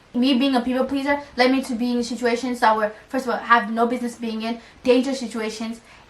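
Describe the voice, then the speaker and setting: Noticeable background noise sits behind a woman talking at a fairly quick pace. Her voice is high in pitch, with monotone, flat intonation. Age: 20s. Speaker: lifestyle vlogger. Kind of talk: casual vlog monologue. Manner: fast; stutters when fast.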